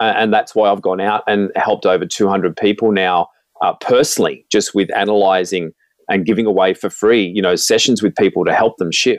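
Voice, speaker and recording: A man with an Australian accent speaks at a fairly low pitch and a moderate pace, his intonation fairly even and his loudness very even. The sound is dry and close with no echo, on a very clean recording with a silent background. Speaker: motivational speaker. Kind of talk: testimony.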